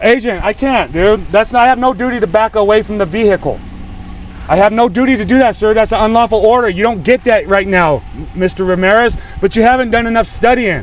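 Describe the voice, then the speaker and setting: Loud and very fast, a man talks in a high voice with ordinary pitch variation. Noticeable background noise runs underneath. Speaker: citizen activist filming confrontation with police. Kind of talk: heated argument with police officer. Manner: stammering, repeating words.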